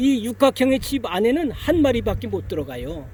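Over noticeable background noise, a man speaks at an extremely high pitch. His intonation is lively and his pace fairly slow. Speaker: beekeeper; Vietnam War veteran. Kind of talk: educational talk to camera. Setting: outdoors.

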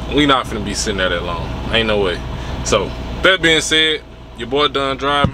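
The speech comes at a very fast pace. Music plays in the background, and the sound is dry with no echo. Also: man. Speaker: truck driver vlogger. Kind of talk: casual vlog chat. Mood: mildly frustrated, resigned. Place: car. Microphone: phone near.

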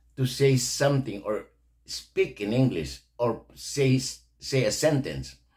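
The voice carries vocal fry against a quiet background. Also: man. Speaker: reaction video host. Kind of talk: commentary. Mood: indignant, disapproving. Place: home room. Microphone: studio mic.

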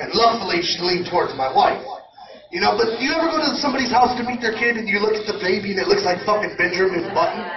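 A man at a high pitch, talking at a very fast pace with very wide pitch swings over noticeable background noise. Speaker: stand-up comedian. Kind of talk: stand-up comedy, crude and profane, rapid-fire joke setups and punchlines. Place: hall.

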